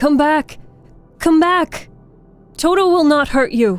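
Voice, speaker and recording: A woman uses a put-on character voice at a fairly slow pace while faint music plays in the background. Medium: read story. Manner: courteous, gentle.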